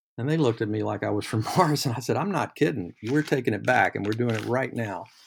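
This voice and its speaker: A man speaks at a fairly quick pace with a medium pitch and ordinary pitch variation. His voice has vocal fry, and the recording is very clean with a silent background. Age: 60s. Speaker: lawyer. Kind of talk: casual chat. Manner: halting.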